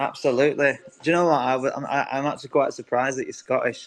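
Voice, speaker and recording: A man at medium pitch talking very fast in a monotone, flat way, over noticeable background noise. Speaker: audio room host. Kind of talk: casual chat.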